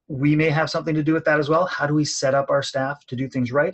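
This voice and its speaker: A man speaks with a Canadian accent in a fairly high, somewhat breathy voice. His intonation is monotone and flat. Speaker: college professor and outdoor education manager. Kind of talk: webinar presentation. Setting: online webinar from his office. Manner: fast.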